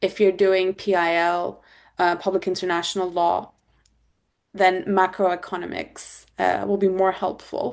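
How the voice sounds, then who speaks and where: Speaking with a Turkish accent, a woman moves at a fairly slow pace. The background is quiet. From Turkey. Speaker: corporate lawyer. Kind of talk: interview answer.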